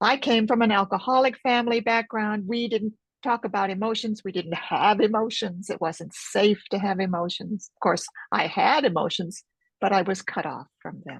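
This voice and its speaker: Against a quiet background, a somewhat breathy woman with an American accent talks at a moderate pace, her fairly high pitch showing ordinary variation. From United States. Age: 70s. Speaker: author and focusing teacher. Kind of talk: interview.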